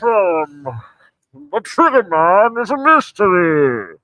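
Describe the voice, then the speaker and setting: This is a put-on character voice at a middle pitch. It moves at a fairly slow pace with very wide pitch swings. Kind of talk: theatrical. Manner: muffled, menacing.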